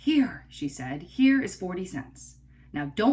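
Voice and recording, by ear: In a natural voice, a passage is read aloud.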